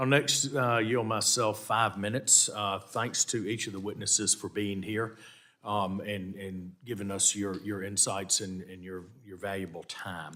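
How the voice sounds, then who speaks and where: A man with a Southern US accent talks at a fairly slow pace in a fairly low pitch, his tone bright and sharp. His loudness swings widely, and the recording is very clean with a silent background. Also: fairly even intonation. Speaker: committee chair, congressman. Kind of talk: congressional hearing questioning. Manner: halting, many restarts.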